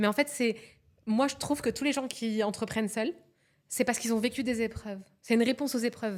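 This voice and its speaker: An animated woman's voice, fairly high in pitch, with long, frequent pauses. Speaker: psycho-coach. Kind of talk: podcast interview. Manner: fast.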